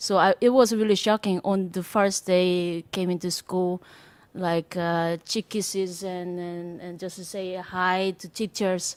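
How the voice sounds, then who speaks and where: Spoken at a fairly slow pace in a Korean accent, the flat, monotone delivery comes through a very clean recording with a silent background and a dry, close sound with no echo. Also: woman. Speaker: jazz drummer. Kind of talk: panel discussion. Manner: halting.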